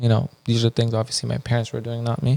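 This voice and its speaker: Recorded with a dry, close sound and no echo, a man with an Iranian accent speaks at a medium pitch. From Afghanistan (Kabul). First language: Farsi. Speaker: podcast co-host. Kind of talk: casual chat.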